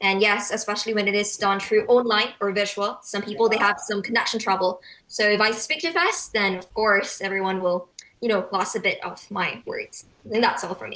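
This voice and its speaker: The speaker moves at a fairly quick pace with ordinary pitch variation. Loudness rises and falls in big swings. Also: woman, medium pitch for a woman. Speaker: speech contest finalist. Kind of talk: interview. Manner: fast.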